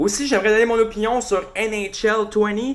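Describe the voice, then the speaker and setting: A man speaks with a Quebec accent. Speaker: hockey podcast host. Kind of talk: casual solo podcast commentary. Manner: casual, hesitant with many fillers.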